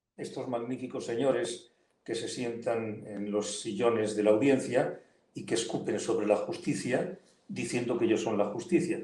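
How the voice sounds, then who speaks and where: A man with a medium-pitched, somewhat breathy voice and a dark, mellow tone speaks at a moderate pace with lively intonation. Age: 70s. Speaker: politician and lawyer. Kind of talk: interview. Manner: animated.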